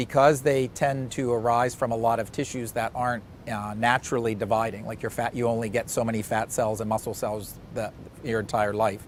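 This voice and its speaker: With a Pittsburgh accent, a man speaks at a fairly quick pace in a medium pitch with monotone, flat intonation. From Pittsburgh, Pennsylvania. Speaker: cancer surgeon. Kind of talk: interview.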